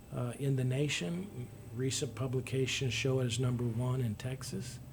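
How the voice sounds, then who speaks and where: A man's somewhat breathy voice at medium pitch, moderate in pace, with fairly even intonation and audible room echo. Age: 60s. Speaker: local political candidate. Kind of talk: interview. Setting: radio studio. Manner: halting.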